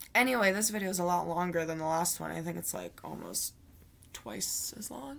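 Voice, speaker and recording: Quiet and mumbling, a woman talks at a fairly quick pace. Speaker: vlogger. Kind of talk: video diary monologue. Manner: mumbling, slurred words; quiet, low energy. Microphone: quiet Chromebook laptop mic.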